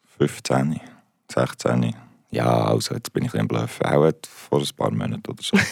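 A man with a very deep, low pitch and vocal fry talks at a moderate pace with fairly even intonation. The recording is dry and close, with no echo. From Switzerland, Basel. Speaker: musician. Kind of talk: interview. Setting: studio.

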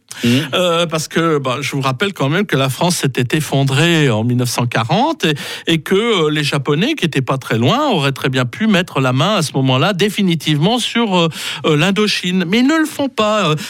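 This man speaks at a moderate pace in a fairly high pitch with lively intonation. His loudness stays very even throughout. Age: 60s. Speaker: radio historian. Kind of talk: history segment on radio. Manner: halting with many fillers.

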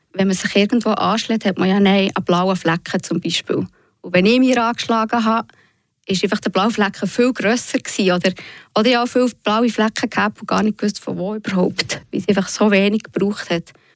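Woman with an unremarkable speaking voice, medium pitch, and moderate pace, in a very clean recording with a silent background and a dry, close sound with no echo. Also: fairly even intonation. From Switzerland, Fribourg region (Bösingen). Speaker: patient and author. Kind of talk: radio interview. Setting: studio.

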